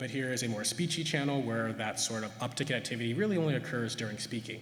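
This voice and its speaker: Noticeable background noise and audible room echo surround the voice. A man talks at a fairly quick pace. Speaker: neuroscientist. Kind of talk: conference talk. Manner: fast; hesitant with many fillers.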